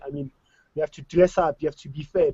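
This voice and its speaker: A man with a South African accent speaks at a high pitch. His tone is animated. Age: 20s. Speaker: DJ. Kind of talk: online panel discussion.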